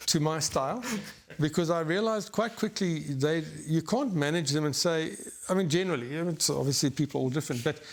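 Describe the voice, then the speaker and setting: Recorded very cleanly against a silent background, a man with a fairly high pitch speaks at a very fast pace. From South Africa. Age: 60s. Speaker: retired banker, property finance veteran. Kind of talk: interview. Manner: halting, with frequent restarts.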